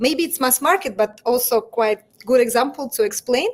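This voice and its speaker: A woman speaks in a high pitch with a Russian accent. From Russia, Moscow. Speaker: fashion brand founder. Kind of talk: interview. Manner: halting.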